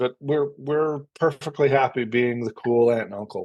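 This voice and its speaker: Speaking at a moderate pace, a man has an American accent. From Connecticut, US. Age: 60s. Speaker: actor and playwright. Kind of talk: interview. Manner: halting.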